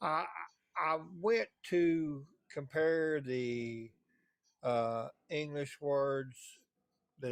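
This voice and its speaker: A man talks at medium pitch. His intonation stays fairly even. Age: 60s. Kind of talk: casual debate. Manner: halting.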